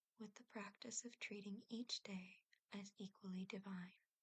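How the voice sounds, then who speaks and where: A soft-spoken woman's whisper, somewhat breathy, at a fairly slow pace, in a dry, close sound with no echo. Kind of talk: ASMR whisper reading of encyclopedia trivia for relaxation and sleep. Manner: whispered, soft-spoken.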